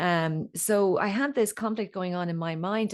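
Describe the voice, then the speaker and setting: Against a quiet background, a woman speaks with an Irish accent. Her pitch sits at medium, with ordinary pitch variation and a moderate pace. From Ireland. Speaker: voice coach and singer. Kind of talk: podcast interview.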